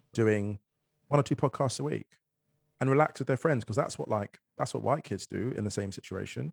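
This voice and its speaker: A man speaks at a very fast pace with vocal fry. His pitch is fairly low, with ordinary variation. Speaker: author and poet. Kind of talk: casual chat. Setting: video call.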